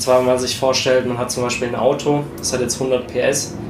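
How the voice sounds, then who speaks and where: A man talks at a moderate pace. Room echo is audible, with noticeable background noise. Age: 20s. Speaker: strength coach and sports science student. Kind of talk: casual chat. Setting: home studio.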